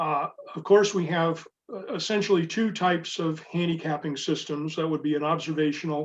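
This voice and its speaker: Fairly quick and fairly even in intonation, a man speaks in a high voice. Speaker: sailing handicapper presenter. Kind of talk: webinar presentation.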